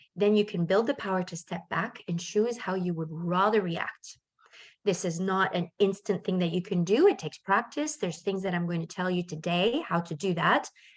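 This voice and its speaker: At a moderate pace over a quiet background, a woman uses an ordinary speaking voice at medium pitch with ordinary pitch variation. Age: 50s. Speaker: life coach. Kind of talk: webinar presentation. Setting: video call with shared screen.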